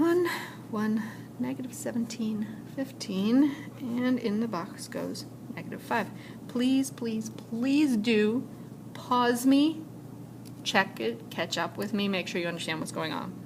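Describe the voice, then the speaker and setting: A woman speaks at a fairly slow pace with a fairly high pitch, very wide pitch swings, long and frequent pauses, and audible room echo. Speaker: high school math teacher. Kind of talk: recorded lecture. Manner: casual, with fillers.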